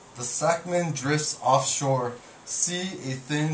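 A man speaks very slowly with fairly even intonation, his voice carrying audible room echo over light background noise. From Guam. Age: 30s. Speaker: poet. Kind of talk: poetry reading. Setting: bookstore reading with audience. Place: shop. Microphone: camera far.

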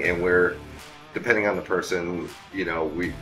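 A man at a moderate pace, with faint music in the background. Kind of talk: interview answer. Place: bar.

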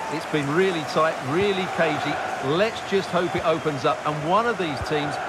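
Crowd noise fills the background. A man speaks at a moderate pace in a calm tone. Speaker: football co-commentator, ex-player pundit. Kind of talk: sports commentary, analytical co-commentary with replay breakdowns. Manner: measured, explanatory, calm, conversational pundit tone.

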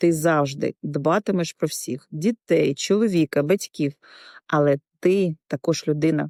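Delivered at a fairly slow pace, the voice has a dark, mellow tone. The sound is dry and close with no echo, in a very clean recording with a silent background. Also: woman, very deep, low pitch for a woman, ordinary pitch variation. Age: 50s. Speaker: insurance agent. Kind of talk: scripted narration.

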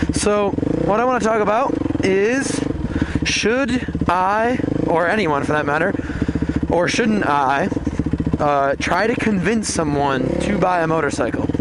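Long, frequent pauses from a man speaking at a fairly slow pace, dry with no echo, over loud background noise. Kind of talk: casual vlog chat. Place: forest. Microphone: helmet.

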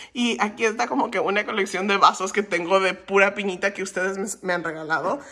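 Over noticeable background noise, a woman speaks fairly quickly at a medium pitch. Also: ordinary pitch variation. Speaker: lifestyle vlogger. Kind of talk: vlog apartment tour. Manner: casual, filler-heavy.

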